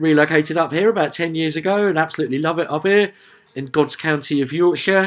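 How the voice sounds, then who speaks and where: With a Sussex accent, he speaks with a fairly high pitch. This man's pitch variation is ordinary. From southern England, Sussex. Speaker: music reviewer. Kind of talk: casual video review. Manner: chatty, lots of filler uhs.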